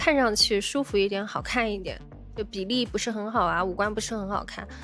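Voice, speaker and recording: With music in the background, the speaker moves at a fairly quick pace with ordinary pitch variation. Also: woman. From China. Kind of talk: casual livestream chat to viewers.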